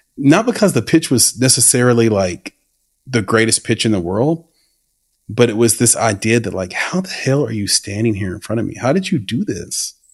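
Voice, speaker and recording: Against a quiet background, a man with an ordinary speaking voice talks at a moderate pace, his medium-pitched delivery carrying lively intonation. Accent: American. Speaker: podcast host. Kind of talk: casual interview chat.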